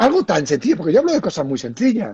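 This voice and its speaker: There is no echo, just a dry, close sound, as the man talks in a high register. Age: 50s. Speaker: entrepreneur. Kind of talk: live video interview.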